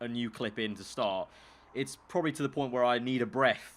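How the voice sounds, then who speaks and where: With a London accent, a man speaks at a very fast pace and a medium pitch. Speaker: YouTuber and esports commentator. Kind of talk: casual chat.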